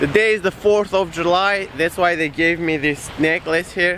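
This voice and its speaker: Moderate in pace, a man speaks in a dry sound with no echo and light background noise. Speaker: travel vlogger. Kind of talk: casual vlog chat. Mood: playful, joking, laughing. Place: beach. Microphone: phone near.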